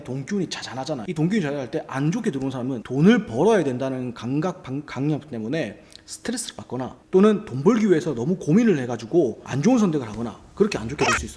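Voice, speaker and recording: Over noticeable background noise, a man talks very fast at a fairly high pitch, his pitch swinging very widely. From Busan, South Korea. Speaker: YouTuber, real estate and feng shui commentator. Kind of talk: casual explanatory talk.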